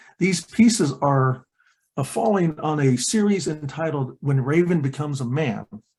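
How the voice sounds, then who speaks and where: A man with an American accent, fairly high-pitched and somewhat breathy, with lively intonation. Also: moderate pace. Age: 60s. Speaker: artist and musician. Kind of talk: online artist talk. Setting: online presentation. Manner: halting, many fillers.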